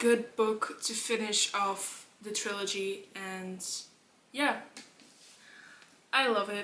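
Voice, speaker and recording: A woman with a Dutch accent speaks at a very slow pace. Her pitch is fairly high and her intonation fairly even. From Netherlands. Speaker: book vlogger. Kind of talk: casual chat.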